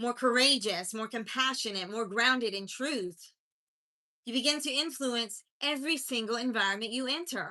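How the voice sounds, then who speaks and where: A woman's high, bright, sharp voice in an American accent. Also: ordinary pitch variation, moderate pace. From US South, mountains of North Carolina. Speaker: life coach. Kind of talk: motivational livestream talk. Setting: live stream.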